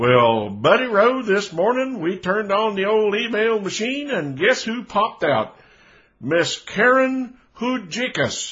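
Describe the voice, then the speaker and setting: The speaker has an American accent and a fairly slow pace. The intonation is lively. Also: man, high pitch for a man. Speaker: radio host. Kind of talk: casual radio presenting. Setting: studio. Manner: folksy, chatty.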